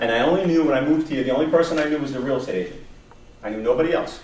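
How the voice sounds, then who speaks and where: A man speaks with a New York accent and ordinary pitch variation. Audible room echo and noticeable background noise are present. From New York, Long Island. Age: 50s. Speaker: career coach presenter. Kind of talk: workshop presentation. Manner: animated.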